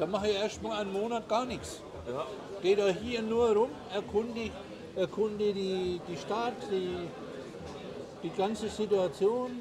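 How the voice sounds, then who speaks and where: The voice moves at a fairly slow pace with fairly even intonation and long, frequent pauses. Noticeable background noise and audible room echo come through. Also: man, high pitch for a man. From Germany. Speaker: expat advisor in Paraguay. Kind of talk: casual interview over a meal.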